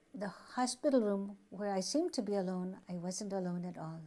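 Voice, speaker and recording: A woman with an American accent speaks in a somewhat breathy voice with a dark, mellow tone. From United States. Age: 70s. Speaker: spiritual community member. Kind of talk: testimony.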